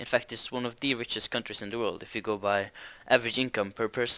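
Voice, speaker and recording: In a very clean recording with a silent background, a man speaks with a Norwegian accent. His tone is bright and sharp, and his intonation is monotone and flat. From Norway. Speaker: interviewee. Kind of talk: interview answers. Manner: hesitant, many fillers.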